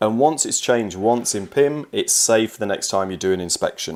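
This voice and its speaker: Captured in a very clean recording with a silent background, a man speaks with ordinary pitch variation. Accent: English. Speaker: software trainer. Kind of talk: tutorial. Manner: casual, some fillers.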